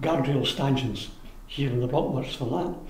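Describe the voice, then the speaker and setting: There is noticeable background noise behind a man speaking at medium pitch. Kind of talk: oral history interview answer.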